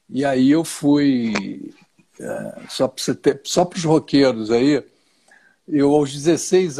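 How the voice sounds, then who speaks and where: This man's voice has a dark, mellow tone and a fairly high pitch, recorded very cleanly against a silent background. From Rio de Janeiro, Brazil. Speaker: plane crash survivor and speaker. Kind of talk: live stream interview.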